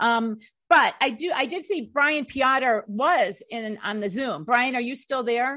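Raised and projected, a woman's high voice has a bright, sharp tone and lively intonation as she speaks at a very slow pace. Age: 60s. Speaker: talk show host. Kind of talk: casual chat.

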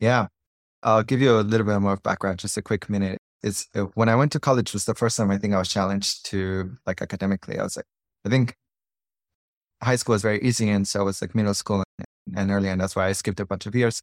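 A man with a Spanish accent talks in a fairly low pitch with fairly even intonation. The recording is very clean and dry, close and echo-free, against a silent background. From Colombia. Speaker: startup founder and CEO. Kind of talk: casual interview conversation.

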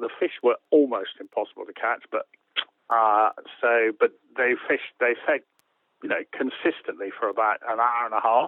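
A man with an English accent at a moderate pace. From England. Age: 60s. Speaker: author and angler. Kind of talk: casual interview chat.

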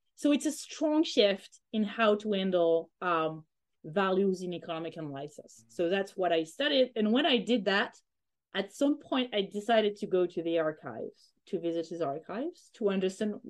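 Spoken at a moderate pace in a French accent, the voice swings very widely in pitch. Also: woman, medium pitch for a woman. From France (Corsica, moved around France). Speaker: economist, historian of economic thought. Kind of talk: interview. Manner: halting. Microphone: bad connection.

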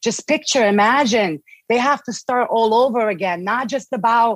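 A woman with a Bosnian accent speaks at a fairly high pitch with ordinary pitch variation, in a dry, close recording with no echo. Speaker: guest, Bosnian immigrant. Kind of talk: interview conversation. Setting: video call.

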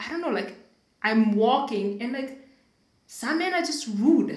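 A woman's lively, up-and-down intonation at a moderate pace. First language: not English (English is third language). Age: 30s. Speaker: podcast host. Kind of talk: casual conversational podcast.

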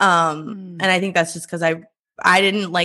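Over a quiet background, a woman with an American accent speaks in a fairly low pitch with a bright, sharp tone and vocal fry. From US Midwest, small-town Iowa. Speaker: writer and media founder. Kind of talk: interview. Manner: halting, many fillers.

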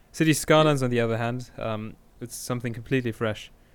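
Using a normal speaking voice, a man talks at a fairly quick pace and a medium pitch. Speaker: podcast host. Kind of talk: casual chat.

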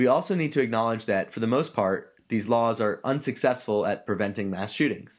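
Speaking in an ordinary speaking voice at a medium pitch, a man talks at a fairly quick pace with hardly any pauses and ordinary pitch variation, in a very clean recording with a silent background. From US South, Georgia. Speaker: podcast host. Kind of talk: opinion monologue.

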